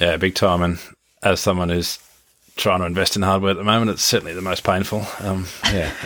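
Talking at a fairly quick pace, the voice has a bright, sharp tone and monotone, flat intonation. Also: man, very deep, low pitch for a man. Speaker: podcast host and agribusiness CEO. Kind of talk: casual interview. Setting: on location at a farm in New Zealand.

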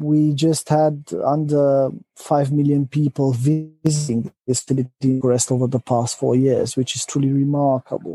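Speaking in a Romanian accent at a moderate pace, a man has a dark, mellow tone, fairly high pitch and monotone, flat intonation, recorded with a dry, close sound and no echo. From Romania, Transylvania. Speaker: company executive. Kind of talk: interview. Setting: remote call. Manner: hesitant, many fillers.

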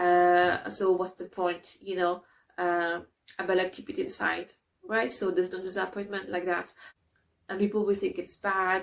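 A woman with a non-native accent speaks in a medium pitch with monotone, flat intonation. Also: moderate pace. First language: not English. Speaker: writing coach running a creativity challenge. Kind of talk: guided exercise tutorial. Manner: hesitant, many fillers.

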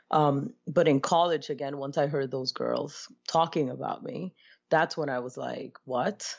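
Her pitch very deep and low, a woman speaks at a fairly slow pace with vocal fry and ordinary pitch variation. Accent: American. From Brooklyn, New York (born Dominican Republic). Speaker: educator and life coach. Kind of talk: interview.

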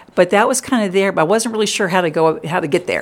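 An unremarkable speaking voice from a woman with an American accent, medium in pitch with ordinary pitch variation. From US South, Richmond, Virginia. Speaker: pastor. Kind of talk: interview.

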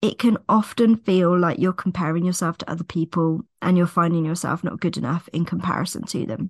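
In a fairly low pitch, a woman speaks somewhat breathily with ordinary pitch variation. The sound is dry and close with no echo, over a quiet background. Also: hardly any pauses. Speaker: mindset coach and business mentor. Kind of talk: solo podcast monologue.

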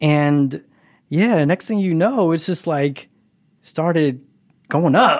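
A man speaks at a very slow pace with long, frequent pauses, his pitch fairly high and its variation ordinary. The recording is very clean, with a silent background. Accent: American. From Philadelphia. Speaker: nail artist and social media influencer. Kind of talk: casual interview. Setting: at home, in his bathroom. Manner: casual, hesitant with many fillers.

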